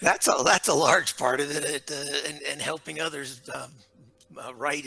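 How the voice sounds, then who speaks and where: Music plays in the background. A man with an American accent speaks at a moderate pace. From United States. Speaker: leadership author and consultant. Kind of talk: interview. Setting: remote call.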